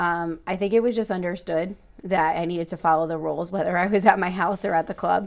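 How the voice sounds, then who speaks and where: Very fast speech from a woman with a fairly low pitch and an American accent, fairly even intonation, quiet background. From Connecticut, Lower Naugatuck Valley; Connecticut. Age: 30s. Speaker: school guidance counselor; interview guest. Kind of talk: interview. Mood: warm, reflective. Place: studio.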